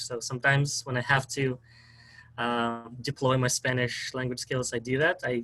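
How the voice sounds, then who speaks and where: A man talks with a strong Russian accent and a bright, sharp tone. His intonation stays monotone and flat. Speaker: historian, PhD student. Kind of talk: interview.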